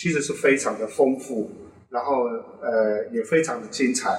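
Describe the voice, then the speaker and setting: Pitch swings very widely as this man talks. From Taiwan east coast, Amis community. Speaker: fashion and cultural product designer. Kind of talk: casual interview chat.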